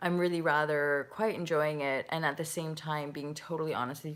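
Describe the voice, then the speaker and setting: With a Canadian accent, a woman speaks at a moderate pace in a very deep, low pitch. Her intonation stays monotone and flat. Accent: Canadian, heard as American by Brits. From Canada. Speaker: spiritual life coach. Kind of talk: live chat answering viewer comments. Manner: casual, rambling with many fillers.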